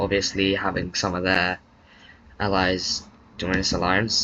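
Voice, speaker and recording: A quiet man's voice, very deep and low in pitch, bright and sharp in tone, with monotone, flat intonation. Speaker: video game commentator. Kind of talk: casual narration of a game recap.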